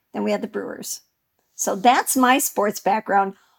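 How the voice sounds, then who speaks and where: In an American accent, a woman with a plain, everyday voice speaks at a moderate pace and fairly high pitch, with ordinary pitch variation and a dry, close sound with no echo. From Wisconsin, US. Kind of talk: casual chat.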